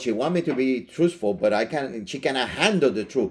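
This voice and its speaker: A man with a non-native accent, his pitch swinging very widely at a moderate pace. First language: not English. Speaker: pastor, podcast co-host. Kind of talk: casual chat. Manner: halting.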